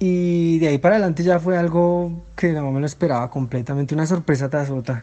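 A man talks at a very fast pace with hardly any pauses. His tone is dark and mellow. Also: fairly high pitch for a man, ordinary pitch variation. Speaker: football fan. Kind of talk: recorded voice message.

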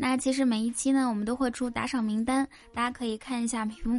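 Her high pitch holds fairly even intonation as this woman speaks. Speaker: podcast host. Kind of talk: comedic monologue telling jokes.

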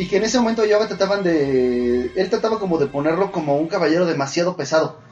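The speaker has a Mexican accent. The pace is fairly quick. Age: 30s. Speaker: anime podcast host. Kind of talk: casual chat. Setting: live stream.

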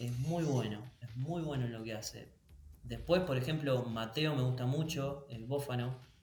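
At a fairly slow pace, a man speaks amid noticeable background noise and audible room echo. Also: medium pitch for a man, ordinary pitch variation. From Argentina, northern Buenos Aires province. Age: 30s. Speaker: wedding photographer. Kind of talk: interview.

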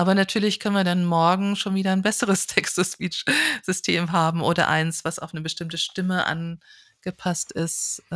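Her intonation stays fairly even while the woman talks at a moderate pace. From northern Hesse, Germany (village near Kassel). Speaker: audiology professor. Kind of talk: interview. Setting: remote recording.

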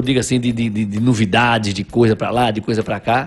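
A man's somewhat breathy voice. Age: 50s. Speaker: businessman, writer and carnival enthusiast. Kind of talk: casual interview chat, storytelling. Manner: halting with repeated words.

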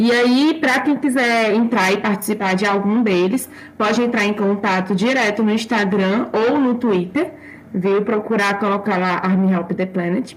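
Noticeable background noise sits under a woman's fairly high voice. She talks at a fairly slow pace with ordinary pitch variation. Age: 20s. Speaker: psychology student and fan group volunteer. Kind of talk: casual chat; informational explanation.

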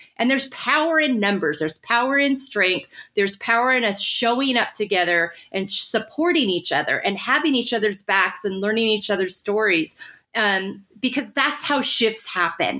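A bright, sharp tone comes through at a moderate pace with very even loudness. The recording is very clean, with a silent background. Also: woman, fairly high pitch for a woman. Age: 50s. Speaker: podcast host. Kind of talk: casual interview chat.

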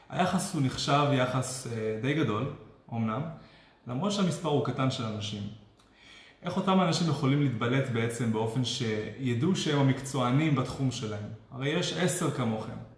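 Over noticeable background noise and audible room echo, a man at a medium pitch talks at a moderate pace with ordinary pitch variation and long, frequent pauses. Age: 20s. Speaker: web developer and online marketer. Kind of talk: live-stream interview.

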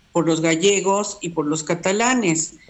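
Her fairly low-pitched voice shows ordinary pitch variation as the woman speaks. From Mexico. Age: 70s. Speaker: university text editor. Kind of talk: casual interview. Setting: remote call.

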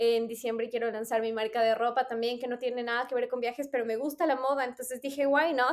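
At a very fast pace, a woman speaks in a high pitch with hardly any pauses. Her intonation stays monotone and flat. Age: 30s. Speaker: podcast host. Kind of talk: casual chat.

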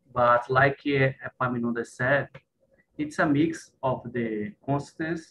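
A man speaks at a fairly slow pace with a Brazilian accent. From Brazil, Recife. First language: Portuguese. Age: 40s. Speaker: network engineer. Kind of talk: casual conversation practice. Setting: video call.

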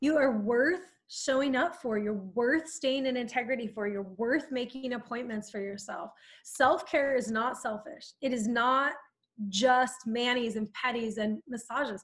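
A woman speaks with an American accent at a fairly slow pace, her pitch high with ordinary variation. The background is quiet. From Southern California. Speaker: life coach. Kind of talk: podcast interview. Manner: animated.

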